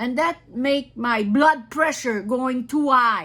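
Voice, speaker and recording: With an Acadian accent, a woman speaks at a high pitch in a bright, sharp tone with ordinary pitch variation. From northern New Brunswick, Canada. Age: 70s. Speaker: retired wood scaler and anti-spraying activist. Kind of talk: personal testimony. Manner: halting, many repetitions and restarts.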